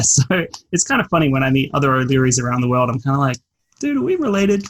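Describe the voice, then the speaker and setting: Lively intonation runs through this man's medium-pitched voice. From Australia (Adelaide, South Australia). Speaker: personal finance writer. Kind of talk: podcast interview.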